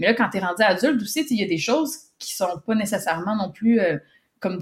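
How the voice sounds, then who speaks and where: This woman has a Quebec accent. Her voice is medium in pitch and somewhat breathy. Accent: Québécois. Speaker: communications and business development professional. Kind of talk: testimony. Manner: halting, many repetitions and fillers.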